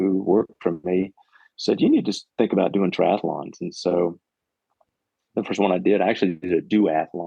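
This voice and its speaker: A man with a very deep, low pitch. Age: 60s. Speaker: retired park ranger and running coach. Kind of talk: podcast interview. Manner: hesitant, many fillers.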